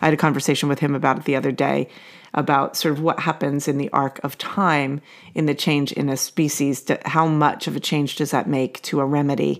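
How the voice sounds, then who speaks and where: A woman's very deep, low voice in an American accent, monotone and flat, fairly quick, on a very clean recording with a silent background. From New Jersey, US. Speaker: podcast host, homeopathy educator. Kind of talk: casual conversational podcast.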